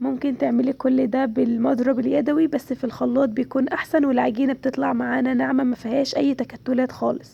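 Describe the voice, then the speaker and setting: A woman with an Egyptian accent at a moderate pace, very even in loudness, with hardly any pauses. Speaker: cooking channel host. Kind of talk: cooking tutorial.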